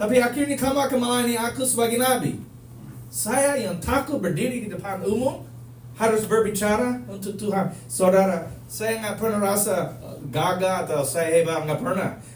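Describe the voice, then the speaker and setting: Animated and with lively intonation, a man in a Manado accent speaks at a high pitch and a moderate pace, with audible room echo and noticeable background noise. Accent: Manado accent in Indonesian. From United States. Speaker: preacher. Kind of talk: sermon.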